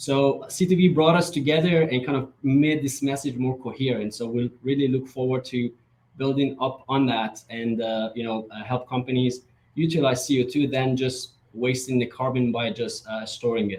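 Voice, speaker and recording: Somewhat breathy, a man of medium pitch talks at a moderate pace with ordinary pitch variation. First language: Persian. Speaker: startup founder. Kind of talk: startup pitch presentation. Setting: virtual event.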